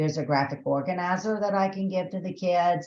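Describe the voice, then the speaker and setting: A woman speaks in a Southern US accent. Her pitch varies in an ordinary way. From Texas. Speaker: education trainer. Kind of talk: webinar tutorial. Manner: conversational, filler-heavy.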